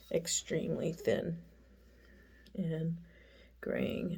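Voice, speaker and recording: A woman's fairly low, somewhat breathy voice with a dark, mellow tone. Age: 60s. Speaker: makeup vlogger. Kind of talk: tutorial. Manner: casual, rambling with fillers.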